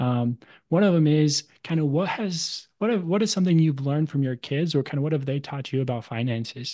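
This man with an American accent has a dark, mellow tone at a fairly high pitch. He talks at a fairly quick pace with ordinary pitch variation over a quiet background. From Arizona, US. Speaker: podcast host. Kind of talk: interview.

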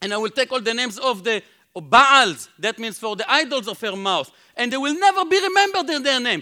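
A man with an Israeli accent speaks in a raised, projected voice at an extremely high pitch, his bright, sharp tone swinging very widely at a fairly quick pace. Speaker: Bible teacher. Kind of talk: sermon. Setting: conference stage with audience.

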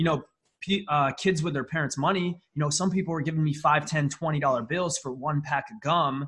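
An unremarkable speaking voice with an American accent moves at a fairly quick pace. The intonation stays fairly even. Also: man, fairly high pitch for a man. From upstate New York. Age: 20s. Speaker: marketing agency founder. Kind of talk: podcast interview. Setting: remote video call.

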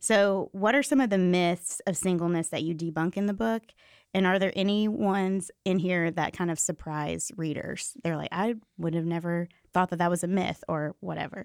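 A woman with an unremarkable speaking voice talks at a fairly low pitch and moderate pace, with ordinary pitch variation. The recording is dry and close, without echo. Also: very clean recording, silent background. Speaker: podcast host. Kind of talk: casual interview.

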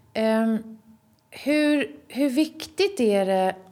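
Ordinary pitch variation in a woman's voice pitched fairly high. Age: 50s. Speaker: podcast host. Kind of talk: interview.

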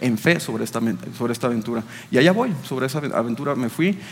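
A man's medium-pitched voice at a very fast pace, with noticeable background noise. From Chiapas, Mexico (Tapachula). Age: 30s. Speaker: business executive. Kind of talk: interview testimony.

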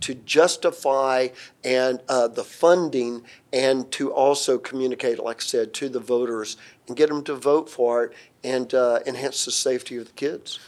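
A Southern US accent at a moderate pace with ordinary pitch variation, in a very clean recording with a silent background. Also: man. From Atlanta, Georgia, US South. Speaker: security systems integrator and company president. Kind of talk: interview, professional conversation.

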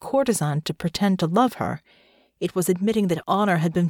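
This voice is reading aloud in a natural voice, with ordinary pitch variation.

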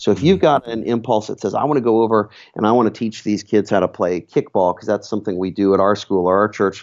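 Against a quiet background, a man talks at a fairly quick pace and fairly low pitch in a normal speaking voice. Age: 40s. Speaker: nonprofit director. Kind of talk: interview.

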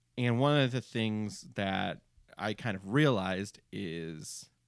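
In a very clean recording with a silent background, a man with an American accent uses a normal speaking voice at fairly low pitch with ordinary pitch variation. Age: 40s. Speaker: podcast host. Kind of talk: casual chat. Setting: studio.

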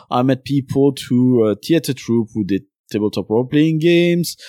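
Recorded very cleanly with a silent background and a dry, close sound with no echo, a man speaks at a fairly quick pace in a dark, mellow tone. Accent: Belgian. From Belgium. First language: French. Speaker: podcast host and game designer. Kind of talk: casual interview chat.

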